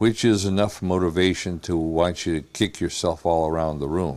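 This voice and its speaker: With a very deep, low pitch, a man talks at a moderate pace with ordinary pitch variation. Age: 70s. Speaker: patient giving a testimonial. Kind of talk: testimony. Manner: halting, many fillers.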